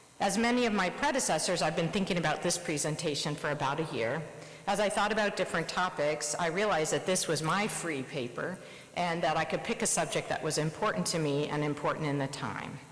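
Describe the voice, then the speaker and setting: A woman with an American accent speaks at a fairly quick pace, her pitch fairly low and her pitch variation ordinary. Her loudness stays very even, with noticeable background noise and audible room echo. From US Midwest, Nebraska. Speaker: surgeon. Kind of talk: presidential address. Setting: conference stage with audience.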